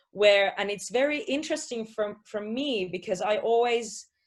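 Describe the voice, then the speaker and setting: A woman with a Finnish accent speaks at a moderate pace, with ordinary pitch variation. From Finland. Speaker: positive psychology coach. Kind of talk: interview.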